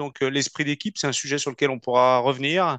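Recorded dry and close with no echo, a man speaks at a fairly high pitch. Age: 40s. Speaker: company CEO. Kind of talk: interview. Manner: halting.

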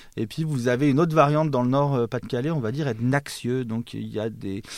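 On a very clean recording with a silent background, a man speaks at a medium pitch in a dark, mellow tone with ordinary pitch variation. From Savoie, eastern France. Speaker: linguistics lecturer and author. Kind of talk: interview.

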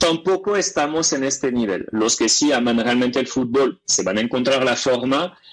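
Fairly slow pace with ordinary pitch variation. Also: man. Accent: French. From France, Paris region. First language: French (speaking Spanish). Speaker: language teacher. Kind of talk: radio interview.

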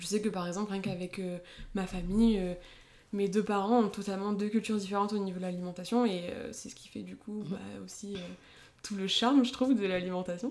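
A woman's normal speaking voice at a medium pitch, fairly quick in pace, with fairly even intonation and big swings in loudness. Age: 20s. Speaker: dietitian. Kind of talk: interview.

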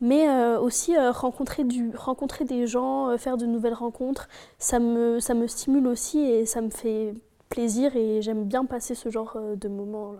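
Recorded very cleanly against a silent background, a woman with a dark, mellow tone and high pitch speaks at a fairly slow pace with fairly even intonation. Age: 20s. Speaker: cosmetics worker. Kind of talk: casual chat.

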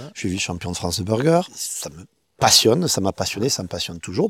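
A man at a fairly quick pace, with very wide pitch swings and big swings in loudness, on a very clean recording with a silent background. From Perpignan, French Catalonia. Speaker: street food chef and caterer. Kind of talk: casual interview chat.

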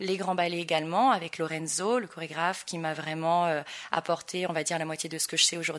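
In a very clean recording with a silent background, a woman uses an ordinary speaking voice, fairly low in pitch, talking fairly quickly with fairly even intonation. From Tahiti, French Polynesia. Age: young. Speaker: dancer and dance school owner. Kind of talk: interview. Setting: in person.

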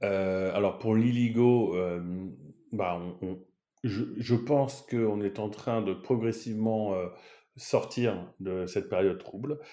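A man speaks at a very slow pace, leaving long, frequent pauses. His fairly low voice has a dark, mellow tone and ordinary pitch variation. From France, Paris. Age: 30s. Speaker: marketing executive. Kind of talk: interview. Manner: animated.

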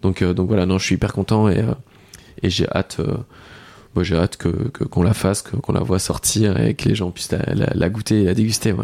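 The voice has a dark, mellow tone with vocal fry. It moves at a fairly quick pace with ordinary pitch variation. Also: man, very deep, low pitch for a man. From France, Lorraine. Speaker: pastry chef, shop owner. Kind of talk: casual interview. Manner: halting, repeats words.

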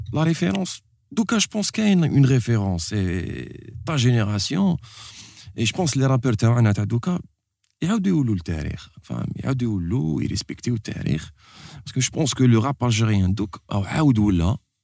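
A man speaks at a fairly slow pace with long, frequent pauses. His medium-pitched, dark and mellow voice swings very widely in pitch over a very clean recording with a silent background. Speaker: podcast host. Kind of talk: casual chat. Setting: studio. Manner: animated.

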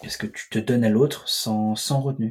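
Somewhat breathy and medium in pitch, a man's voice moves at a moderate pace with fairly even intonation. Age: 20s. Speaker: host's cousin. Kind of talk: casual chat.

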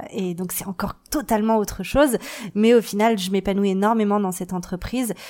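With fairly even intonation, a woman speaks at a medium pitch. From Paris, France. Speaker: marketing agency founder. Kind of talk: interview testimony. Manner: hesitant with many fillers.

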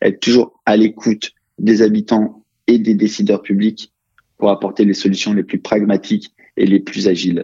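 At a moderate pace, a man talks in a fairly low, monotone voice with flat intonation and very even loudness. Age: 30s. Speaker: real estate executive. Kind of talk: interview. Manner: hesitant, many fillers.

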